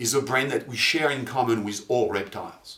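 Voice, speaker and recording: A man's plain, everyday voice at medium pitch, fairly quick in pace, with ordinary pitch variation. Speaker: marketing and neuromarketing presenter. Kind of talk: corporate promo presentation. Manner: clear, explanatory.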